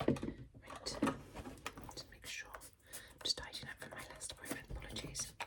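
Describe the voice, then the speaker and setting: Whispering at a moderate pace, a woman's loudness swings a lot amid noticeable background noise. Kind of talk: ASMR role-play, whispered consultation. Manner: whispered, soft-spoken.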